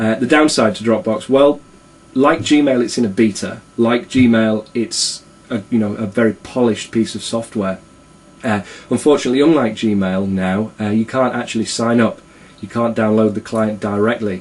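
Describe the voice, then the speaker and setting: A man at a moderate pace, ordinary pitch variation, noticeable background noise behind him. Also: medium pitch for a man. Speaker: tech video blogger. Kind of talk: casual software review. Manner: hesitant, many fillers.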